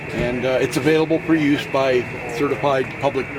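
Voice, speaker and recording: A man's medium-pitched voice comes through with noticeable background noise around it. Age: 70s. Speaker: ham radio operator exhibitor. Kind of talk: casual equipment show-and-tell.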